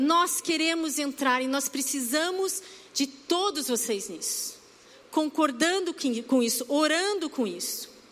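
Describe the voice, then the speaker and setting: A woman talks very slowly in a high voice. Noticeable background noise sits behind her. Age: 40s. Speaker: church preacher. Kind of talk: sermon.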